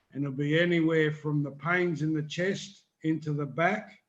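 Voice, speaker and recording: Against a quiet background, a man talks at a fairly high pitch with fairly even intonation. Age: 60s. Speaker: paragliding hobbyist on live stream. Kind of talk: casual chat.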